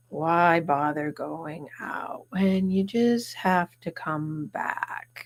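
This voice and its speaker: A put-on character voice at a middle pitch, very slow in pace with hardly any pauses. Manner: slow, gloomy, droopy.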